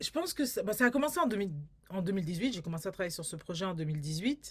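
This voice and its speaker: Somewhat breathy, a woman's medium-pitched voice moves very fast and swings very widely in pitch. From France, Paris. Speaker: filmmaker and community artist. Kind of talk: interview. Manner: halting, many repetitions.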